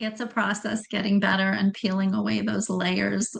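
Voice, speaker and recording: A woman speaks with vocal fry. Her intonation is monotone and flat. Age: 60s. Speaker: functional health coach. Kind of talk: podcast interview.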